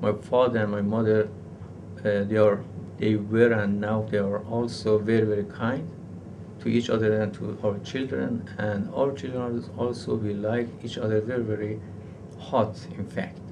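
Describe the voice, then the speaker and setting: Through audible room echo, a man with a fairly low pitch talks at a moderate pace and fairly even intonation. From Iran. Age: 40s. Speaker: university professor. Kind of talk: interview. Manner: halting.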